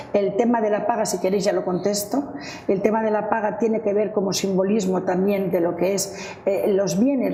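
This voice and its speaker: A woman speaks in a room with audible echo. Background noise is noticeable. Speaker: family finance educator. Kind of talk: panel discussion. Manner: fast.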